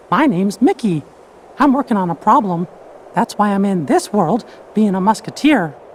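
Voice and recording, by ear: A cartoonish character voice at a fairly high pitch moves at a moderate pace with long, frequent pauses.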